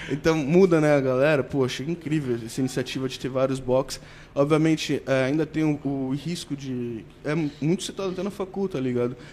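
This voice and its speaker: With a plain, everyday voice, a man talks at a moderate pace and a fairly high pitch with ordinary pitch variation. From Baixada Santista, São Paulo state, Brazil. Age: 20s. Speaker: athlete. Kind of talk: casual chat.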